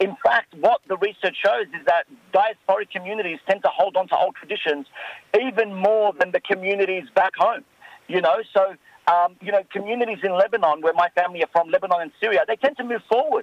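This man talks at a fairly quick pace with an Australian accent. His voice sits high in pitch. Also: ordinary pitch variation. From Western Sydney, Australia. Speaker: novelist. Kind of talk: radio interview.

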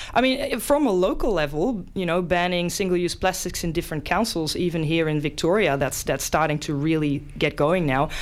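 A woman with a Dutch accent speaks at a fairly quick pace in a fairly low pitch, with lively intonation and noticeable background noise. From Netherlands. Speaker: science presenter. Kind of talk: casual science explainer. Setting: radio studio.

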